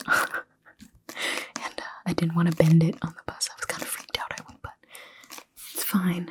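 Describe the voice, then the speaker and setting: A soft-spoken woman is heard in a dry, close sound with no echo. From Toronto, Canada. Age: young. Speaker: writer. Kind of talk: ASMR casual talk to camera.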